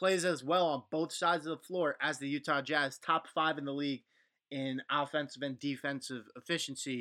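A man at a moderate pace in an ordinary speaking voice, fairly high in pitch with ordinary pitch variation, on a very clean recording with a silent background and a dry, close sound with no echo. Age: 20s. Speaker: sports podcast host. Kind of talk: solo podcast commentary. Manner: casual, conversational.

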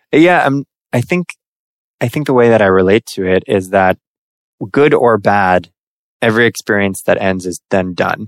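A man's fairly low voice at a moderate pace, with ordinary pitch variation, long, frequent pauses, and a dry, close sound with no echo. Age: 20s. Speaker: business owner. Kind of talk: casual interview.

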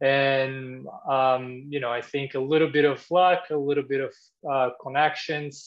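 The speaker has a Portuguese accent and a fairly slow pace. The intonation stays monotone and flat. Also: man, fairly high pitch for a man. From Brazil. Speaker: former tennis tour supervisor, tech company employee. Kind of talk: casual interview.

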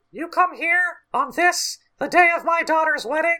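A put-on character voice pitched extremely high speaks at a moderate pace. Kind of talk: gangster speech. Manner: menacing, gruff.

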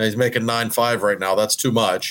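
Recorded very cleanly against a silent background, a man with an American accent has an ordinary speaking voice and a fairly low pitch. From Pittsburgh, US. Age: 40s. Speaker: hockey reporter. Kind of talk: casual chat.

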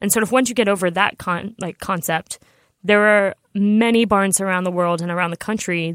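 Heard in a very clean recording with a silent background and a dry, close sound with no echo, a woman at medium pitch talks at a fairly quick pace with fairly even intonation and an American accent. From New York. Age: 30s. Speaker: show jumping rider. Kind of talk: interview.

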